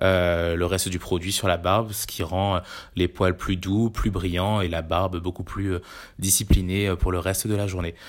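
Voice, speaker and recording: A man speaks at a very deep, low pitch, flat and monotone, at a fairly slow pace. The recording is very clean, with a silent background. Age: 30s. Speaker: digital campaign staff. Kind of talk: product review monologue. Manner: hesitant, many fillers.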